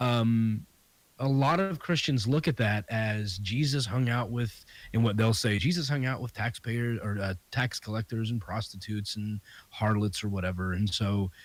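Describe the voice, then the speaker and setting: A man talks in a medium pitch, keeping a moderate pace. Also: ordinary pitch variation. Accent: Southern US. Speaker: comedian and podcast host. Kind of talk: casual interview chat.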